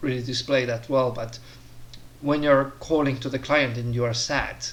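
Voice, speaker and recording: Amid audible room echo, a man at a medium pitch speaks at a fairly slow pace with fairly even intonation. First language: not English. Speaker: career advice vlogger. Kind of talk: casual monologue tutorial. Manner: hesitant, many fillers.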